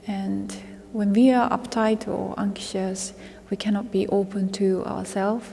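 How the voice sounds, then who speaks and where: A woman speaking at a very slow pace, with a Japanese accent. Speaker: vocal musician. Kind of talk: interview. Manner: halting.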